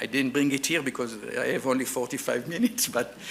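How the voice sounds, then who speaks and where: A man talks with an Israeli accent. His intonation is lively. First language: Hebrew. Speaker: archaeologist. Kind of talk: lecture. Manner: halting, with many fillers.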